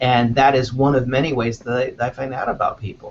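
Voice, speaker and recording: Speaking at a fairly quick pace, a man with a fairly high voice talks in a Los Angeles accent. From Los Angeles, US. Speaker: news recruiting manager. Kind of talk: interview. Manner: many fillers, hesitant restarts.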